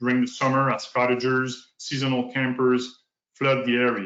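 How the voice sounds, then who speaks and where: A man speaks at a moderate pace. He has a slight French Canadian accent. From northern New Brunswick, Canada (francophone). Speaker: provincial park manager. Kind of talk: conference presentation. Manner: halting.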